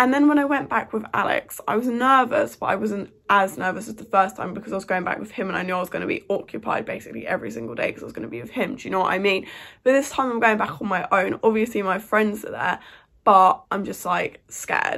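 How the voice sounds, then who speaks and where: The voice moves at a very fast pace with big swings in loudness. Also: woman. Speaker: student vlogger. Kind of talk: casual vlog chat. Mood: nervous but chatty. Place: home room. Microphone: phone near.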